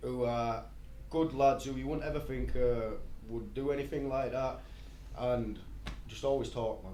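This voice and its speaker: The voice carries a Yorkshire accent with long, frequent pauses. Audible room echo can be heard. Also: man. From Bradford, West Yorkshire, England. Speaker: rapper. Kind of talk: podcast interview. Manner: fast, hyped up.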